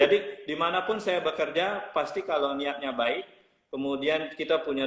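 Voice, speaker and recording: Moderate pace, ordinary pitch variation and an unremarkable speaking voice from a man. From Bali, Indonesia. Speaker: hotel general manager. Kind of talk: interview.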